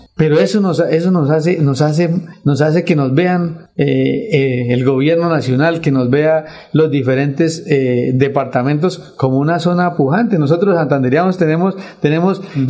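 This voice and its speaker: A man's fairly high voice at a moderate pace, with ordinary pitch variation and very even loudness. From Colombia, Santander (Vélez province). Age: 40s. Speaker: local council candidate and businessman. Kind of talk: radio interview. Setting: radio studio. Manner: halting, with frequent repetitions.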